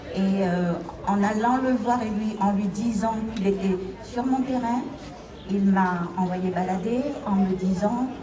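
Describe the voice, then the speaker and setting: A woman at a very slow pace with long, frequent pauses, medium pitch, fairly even intonation and very even loudness, amid noticeable background noise and audible room echo. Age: 70s. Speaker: victim of violence. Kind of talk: testimony. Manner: halting.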